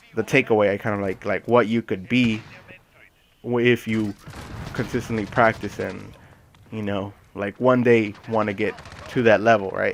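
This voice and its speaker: A man with a fairly low pitch speaks at a moderate pace in a monotone, flat way, with long, frequent pauses and noticeable background noise. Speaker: gaming YouTuber. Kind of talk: gaming commentary. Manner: hesitant, many fillers.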